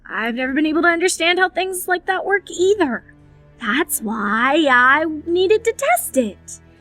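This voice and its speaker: A female-sounding voice does a put-on character voice at an extremely high pitch and a moderate pace. Faint music plays in the background. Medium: audio drama.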